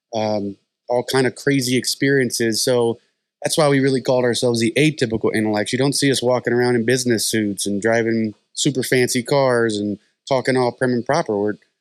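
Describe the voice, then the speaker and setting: In a quiet background with a dry, close sound and no echo, a man with a Southern US accent talks at a fairly quick pace and medium pitch, with fairly even intonation and very even loudness. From US South. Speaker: podcast co-host. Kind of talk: casual chat.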